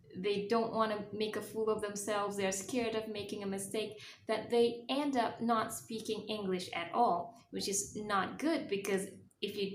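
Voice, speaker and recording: Speech at a moderate pace with audible room echo. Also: woman. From Malaysia. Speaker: travel vlogger. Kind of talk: casual vlog talk to camera.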